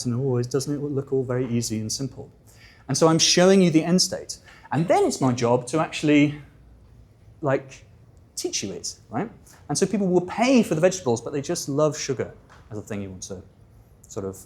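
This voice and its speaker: A somewhat breathy man with a fairly high pitch speaks at a fairly quick pace, using lively intonation and long, frequent pauses. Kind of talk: conversational, informal. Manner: calm, soothing.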